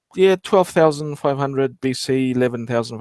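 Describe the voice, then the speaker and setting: A man with an Australian accent, recorded with a dry, close sound and no echo. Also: very clean recording, silent background. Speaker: archaeology livestream host. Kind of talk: casual live stream talk. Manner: halting, many false starts.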